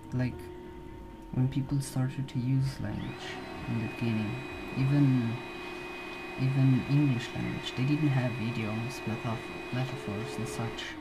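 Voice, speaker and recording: The speaker goes at a fairly slow pace with long, frequent pauses over noticeable background noise. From Slovenia. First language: Slovenian. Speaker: video blogger. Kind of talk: casual monologue. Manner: halting. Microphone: poor audio.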